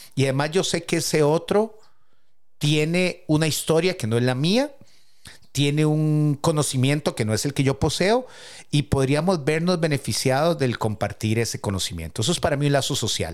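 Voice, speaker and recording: In a normal speaking voice, a man talks at a moderate pace with a fairly high pitch, lively intonation and very even loudness. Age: 50s. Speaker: podcast co-host. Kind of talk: casual chat.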